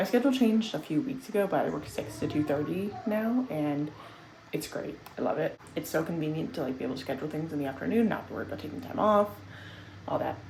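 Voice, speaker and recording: With very wide pitch swings in a very deep, low voice, a woman talks at a very fast pace amid audible room echo. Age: 20s. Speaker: vlogger. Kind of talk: casual vlog talk to camera. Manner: casual, rambling with fillers.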